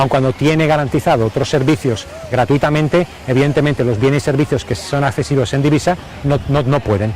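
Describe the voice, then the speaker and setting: Amid noticeable background noise, a man talks at a fairly quick pace with very even loudness. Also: fairly high pitch for a man, ordinary pitch variation. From Spain, Aragon (Broto, Pyrenees). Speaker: Spanish expat, former UN worker. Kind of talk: interview. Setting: outdoors on location. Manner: halting, frequent repetitions.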